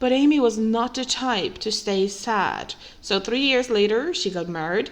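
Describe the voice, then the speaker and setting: A woman's fairly high voice with a non-native accent at a fairly slow pace. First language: not English. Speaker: true crime podcaster. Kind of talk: scripted narration.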